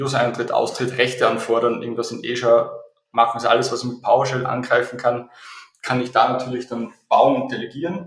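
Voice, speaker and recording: A man speaks at a fairly quick pace. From Austria. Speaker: software company CEO. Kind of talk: interview. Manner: hesitant, many fillers and repetitions.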